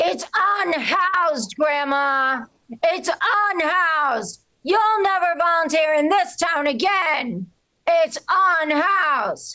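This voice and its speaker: Bellowing in a put-on character voice, a woman speaks at a very slow pace with extremely high pitch, lively intonation and very even loudness. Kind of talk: loud shout. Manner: bellowing, loud and scolding.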